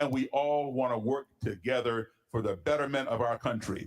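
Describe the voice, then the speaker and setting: Using a normal speaking voice, a man with an American accent talks at a moderate pace, with a fairly high pitch and ordinary pitch variation. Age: 60s. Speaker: panelist on race relations. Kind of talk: panel discussion.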